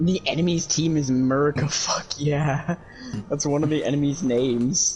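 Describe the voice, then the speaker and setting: Over noticeable background noise, a man speaks at a fairly high pitch. His loudness stays very even, and his intonation is fairly even. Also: moderate pace. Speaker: gaming streamer. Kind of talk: casual chat.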